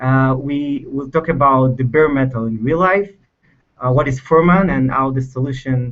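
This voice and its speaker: A man in an Israeli accent, with fairly even intonation. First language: Hebrew. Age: 20s. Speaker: software engineer. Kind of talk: technical presentation. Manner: halting, many fillers.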